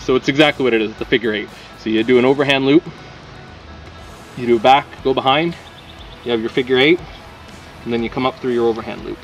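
A man at a very fast pace with fairly even intonation, faint music in the background. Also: dry sound with no echo. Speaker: workshop instructor. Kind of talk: tutorial. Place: open country.

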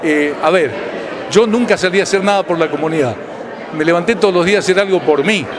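A man with an Argentine accent, high in pitch, with ordinary pitch variation and noticeable background noise. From Argentina. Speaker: radio announcer. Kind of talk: interview answer. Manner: emotional, reflective. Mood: moved, grateful. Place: hall. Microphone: handheld.

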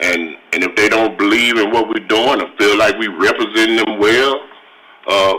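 With noticeable background noise behind him, a man speaks at a moderate pace in an American accent. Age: 60s. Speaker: city council member. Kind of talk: council meeting debate.

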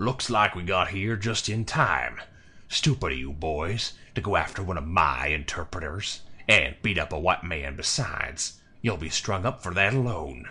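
A man puts on a character voice, drawling at a moderate pace. His pitch is very deep and low, with lively intonation. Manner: drawling, smug, authoritative.

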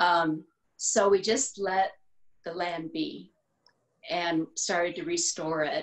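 A woman speaks with an American accent at a very slow pace. Her speech has long, frequent pauses. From Texas Hill Country. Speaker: botanical artist. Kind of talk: interview. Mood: warm, reflective. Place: home room. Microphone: video call.

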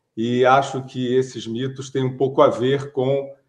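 A man talks at a very slow pace. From Brazil. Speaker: writer and journalist; journalist. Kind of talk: interview. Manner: hesitant, many fillers. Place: home room. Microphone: webcam.

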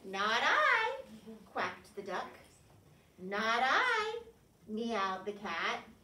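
A woman speaks very slowly, with audible room echo around her. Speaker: preschool teacher. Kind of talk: storytime read-aloud to children. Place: classroom. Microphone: camera far.

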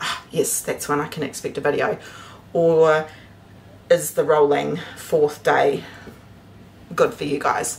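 A woman speaks with light noise in the background. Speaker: homestead vlogger. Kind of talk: casual vlog chat. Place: kitchen. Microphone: phone near.

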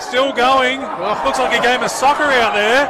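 A man speaks in a raised, projected voice at an extremely high pitch, with ordinary pitch variation. Noticeable background noise runs behind him. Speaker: rugby league commentator. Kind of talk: live sports commentary on a match, play-by-play. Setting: rugby league match broadcast.

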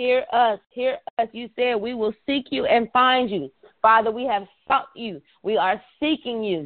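A woman speaks in an animated tone with lively intonation. The background is quiet. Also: fairly slow pace. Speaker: prayer call leader. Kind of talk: prayer call; fervent prayer, repetitive and rhythmic. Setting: phone conference call. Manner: fervent, impassioned, building in cadence with repeated phrases; animated, preacher-like. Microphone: phone line.

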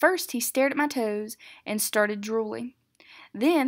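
The background is quiet for this plain reading aloud, whose pitch varies in an ordinary way.

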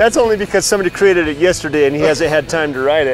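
Clear music plays in the background of this dry, echo-free recording as the speaker goes at a very fast pace. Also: man. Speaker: TV host interviewer. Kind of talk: interview questions. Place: street. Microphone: lapel.

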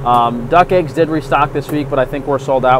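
Fairly quick, fairly even speech from a man, with a dry sound with no echo and noticeable background noise. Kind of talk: casual vlog chat. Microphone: phone near.

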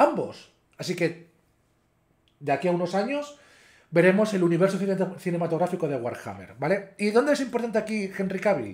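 Against a quiet background, a man talks at a fairly quick pace in a high voice. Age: 30s. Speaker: YouTuber. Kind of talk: casual vlog commentary. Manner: hesitant, with fillers.

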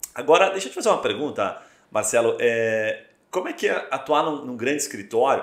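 At a fairly quick pace, a man talks in a room with audible echo and a quiet background. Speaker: podcast host. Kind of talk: podcast interview. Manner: casual. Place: studio.

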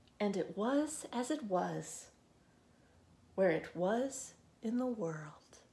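A woman with a gentle, warm, dark, mellow tone, somewhat breathy and medium in pitch, at a very slow pace with very wide pitch swings and long, frequent pauses. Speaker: librarian. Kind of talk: children's storytime reading aloud. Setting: video recording from a library. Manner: slow, rhythmic, gentle cadence with pauses between repeated lines; warm, friendly, welcoming to children. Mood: gentle, warm, expressive. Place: home room. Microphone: phone near.

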